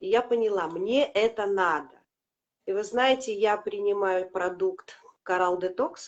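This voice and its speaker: A woman speaks at a fairly slow pace, her medium pitch rising and falling with ordinary variation. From Latvia. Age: 50s. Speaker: product customer sharing results. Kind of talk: testimony. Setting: live video stream.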